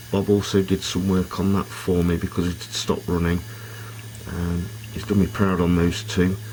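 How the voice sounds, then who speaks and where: There is noticeable background noise behind a man whose pitch is very deep and low. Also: fairly even intonation, moderate pace. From Britain. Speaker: model railway hobbyist. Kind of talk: video narration. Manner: hesitant with fillers.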